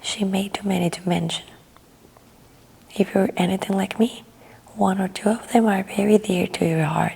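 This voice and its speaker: A soft-spoken voice talks at a moderate pace in a calm tone. Background noise is noticeable. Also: woman. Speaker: ASMR artist. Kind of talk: audiobook reading. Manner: soft-spoken, calm.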